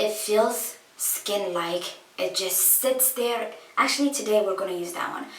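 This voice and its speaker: Through noticeable background noise and audible room echo, a woman speaks at a fairly slow pace in a medium pitch with ordinary variation. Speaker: beauty vlogger. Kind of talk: makeup tutorial. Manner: casual, chatty.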